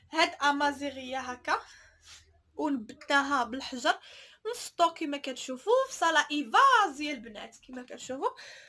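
A woman in a raised, projected voice, high-pitched, bright and sharp, animated in tone with lively intonation and big swings in loudness, at a fairly slow pace over a quiet background. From Morocco. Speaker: online clothing seller and vlogger; online clothing seller, vlogger. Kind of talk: product showcase vlog. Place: shop. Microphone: phone near.

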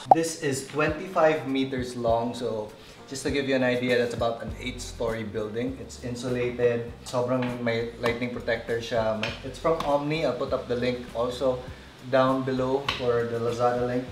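Music plays in the background as a man speaks. His pace is moderate and his intonation fairly even. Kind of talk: casual vlog chat. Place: garden.

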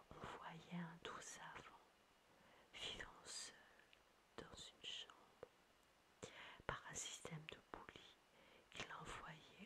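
A very slow whisper with long, frequent pauses. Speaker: ASMR creator. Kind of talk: whispered astrology reading. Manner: whispered, soft-spoken.

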